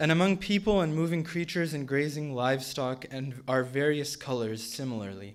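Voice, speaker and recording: A man talks at a moderate pace in a normal speaking voice. His pitch is medium, with ordinary pitch variation. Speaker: Quran reciter. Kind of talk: spoken English translation of Quran verses.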